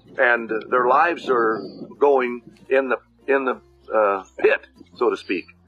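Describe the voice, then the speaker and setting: A man with an American accent talks against noticeable background noise. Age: 80s+. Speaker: ranch supporter, former baseball player. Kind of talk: testimonial. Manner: halting.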